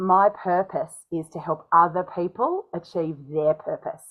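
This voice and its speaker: A woman talks with an Australian accent. Her pitch varies in an ordinary way. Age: 40s. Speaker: speaking coach. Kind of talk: interview. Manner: animated.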